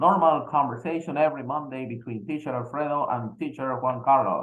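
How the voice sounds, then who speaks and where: Speaking with a Spanish accent, a man has a fairly high voice. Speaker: English teacher. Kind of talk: casual chat.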